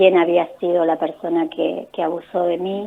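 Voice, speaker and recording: A very slow, fairly low-pitched woman's voice in a Rioplatense accent. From Argentina, La Plata. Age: 50s. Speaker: holistic therapist and author. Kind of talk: radio interview, personal testimony. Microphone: hands-free phone, improved after adjusting.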